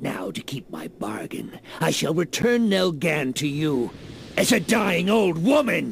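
This man's voice sits high and swings very widely in pitch as he talks at a fairly slow pace over clear background noise. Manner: gloating, triumphant.

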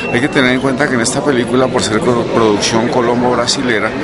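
Loud background noise surrounds a man whose intonation stays fairly even. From Colombia. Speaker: actor and radio announcer. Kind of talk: interview answer about his film roles. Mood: friendly, relaxed. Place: hall. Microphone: phone near.

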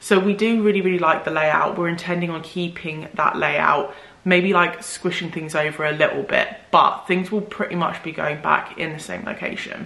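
Intonation stays fairly even as a woman speaks. Room echo is audible. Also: fairly low pitch for a woman, moderate pace. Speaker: home renovation vlogger. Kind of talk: casual vlog chat. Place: home room.

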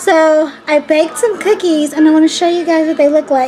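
A woman speaks at a high pitch with ordinary pitch variation. Clear music plays in the background. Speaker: pregnant mom vlogger. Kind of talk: casual vlog chat. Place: kitchen. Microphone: phone near.

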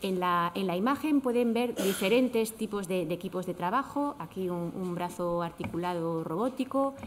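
A woman at medium pitch, moderate pace and ordinary pitch variation

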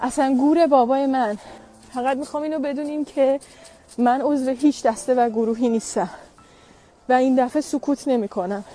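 A woman's high voice at a moderate pace, with fairly even intonation, long, frequent pauses and a dry sound with no echo. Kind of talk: emotional personal statement. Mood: upset, defiant, emotional. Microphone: earbuds.

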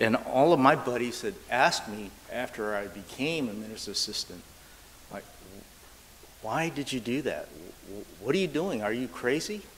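A man with an American accent speaks at a medium pitch and a moderate pace, with lively intonation. He leaves long, frequent pauses, and there is light background noise. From US West Coast (Sacramento, California). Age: 60s. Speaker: Buddhist minister's assistant. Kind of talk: sermon. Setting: church. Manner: halting. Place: church. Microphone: lapel.

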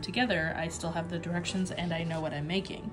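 Clear music in the background behind a woman's fairly low, fairly even voice at a fairly quick pace. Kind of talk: casual vlog chat. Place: home room. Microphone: phone near.

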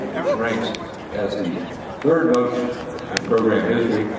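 A man speaks at a moderate pace with ordinary pitch variation. Strong room echo and noticeable background noise surround his voice. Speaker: stadium announcer. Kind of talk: ceremony announcement. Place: stadium.

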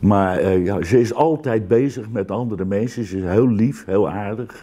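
A man speaks at a fairly slow pace in a fairly low pitch, with a dark, mellow tone and ordinary pitch variation. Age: 70s. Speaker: retired air force serviceman; interviewee. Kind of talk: interview. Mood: reflective, warm. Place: home room.

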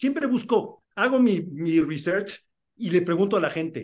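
A man's lively intonation at a moderate pace, against a quiet background. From Mexico City. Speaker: film and TV director. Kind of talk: interview. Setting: video call. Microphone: video call.

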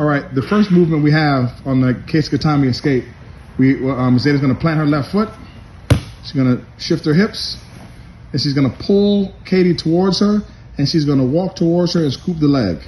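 Light background noise sits behind a man's voice. He talks at a moderate pace with ordinary pitch variation. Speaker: judo coach narrating a demonstration. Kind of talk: instructional commentary. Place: gym. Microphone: phone near.

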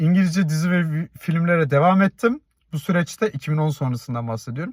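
A high-pitched man at a moderate pace, the sound dry and close with no echo. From Turkey, Tekirdağ. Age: 30s. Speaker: YouTuber. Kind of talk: personal vlog monologue.

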